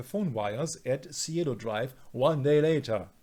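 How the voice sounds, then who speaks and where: A man with a non-native accent on a very clean recording with a silent background. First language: not English. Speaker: conspiracy researcher. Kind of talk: casual discussion. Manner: halting, many fillers.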